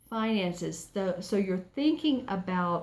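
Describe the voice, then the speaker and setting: Somewhat breathy, the voice shows ordinary pitch variation on a very clean recording with a silent background. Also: woman. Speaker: tarot reader. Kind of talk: tarot reading. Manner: softer and calmer; halting.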